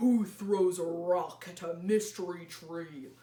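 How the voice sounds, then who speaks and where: A female-sounding voice does a put-on character voice at medium pitch. The pace is fairly slow. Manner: indignant.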